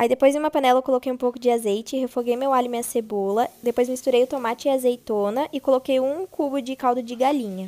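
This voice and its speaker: Her pace fairly quick, a woman speaks at a high pitch with fairly even intonation. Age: 20s. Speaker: food content creator. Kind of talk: recipe tutorial voiceover. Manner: casual.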